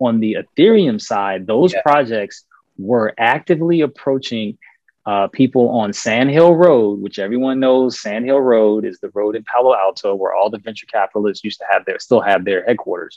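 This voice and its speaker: An unremarkable speaking voice with an American accent moves at a moderate pace. Its pitch varies in an ordinary way. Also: man, medium pitch for a man. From US South, Richmond, Virginia. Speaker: lawyer and investor. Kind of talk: podcast interview. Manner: frequent fillers (um, uh).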